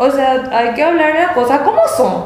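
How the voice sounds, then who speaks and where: Against noticeable background noise and audible room echo, a woman speaks at a high pitch with ordinary pitch variation. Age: young. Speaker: accountant. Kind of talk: casual chat.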